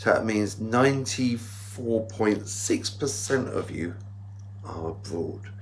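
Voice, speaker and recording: Audible room echo surrounds a man speaking at a very slow pace, his somewhat breathy, fairly low voice held to a fairly even intonation. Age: 60s. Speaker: vlogger. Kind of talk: casual vlog.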